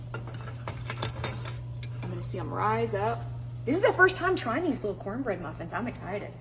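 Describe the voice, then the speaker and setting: In an American accent, a woman speaks at a fairly slow pace amid noticeable background noise and audible room echo. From Mississippi. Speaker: cooking show host. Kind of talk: cooking tutorial. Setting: home kitchen, filmed by husband. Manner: animated.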